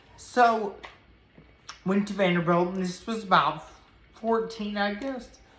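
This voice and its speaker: In a Tennessee accent, the speaker uses ordinary pitch variation and long, frequent pauses, with audible room echo and noticeable background noise. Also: woman, medium pitch for a woman, fairly slow pace. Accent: Southern US (Tennessee). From US South, Nashville, Tennessee. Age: 30s. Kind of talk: personal testimony to camera. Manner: halting, many fillers.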